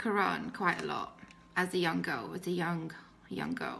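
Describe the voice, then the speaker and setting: A woman at a moderate pace, medium in pitch, with a British accent. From Britain, Pakistani family. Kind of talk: testimony. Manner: hesitant, many fillers.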